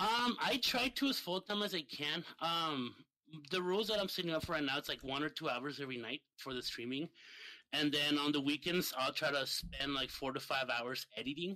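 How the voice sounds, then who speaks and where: In a Spanish accent, a man with a fairly high pitch and a bright, sharp tone speaks at a moderate pace with lively intonation. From Mexico, Ciudad Juarez. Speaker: streamer and gamer. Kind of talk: casual chat.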